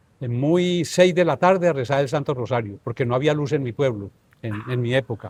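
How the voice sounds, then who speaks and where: This man's voice is somewhat breathy and sits at medium pitch. He moves at a fairly quick pace with ordinary pitch variation. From Colombia, northern Tolima. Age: 70s. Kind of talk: interview, life story.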